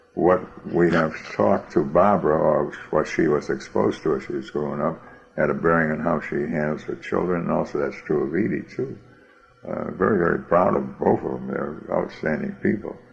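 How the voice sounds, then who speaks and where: Noticeable background noise surrounds this recording. A man talks at a moderate pace. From US Northeast, Boston. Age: 80s+. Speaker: interviewee, grandfather. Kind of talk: oral history interview. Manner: halting, many fillers and repeats.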